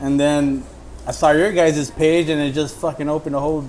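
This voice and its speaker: Noticeable background noise sits behind a man with an American accent who talks at a fairly quick pace in a flat monotone, his pitch fairly high. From Southern California, Orange County. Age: 30s. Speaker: amateur baseball player and bat maker. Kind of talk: casual chat.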